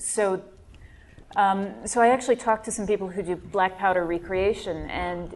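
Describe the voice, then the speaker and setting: A plain, everyday voice speaks at a moderate pace. Its pitch varies an ordinary amount. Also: woman. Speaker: podcast co-host and author. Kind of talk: live panel discussion.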